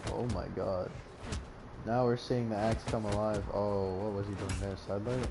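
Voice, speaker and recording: Audible room echo surrounds a man speaking at a moderate pace. His voice has a fairly low pitch and a dark, mellow tone. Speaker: esports commentator. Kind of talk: live commentary. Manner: animated; stuttering at times.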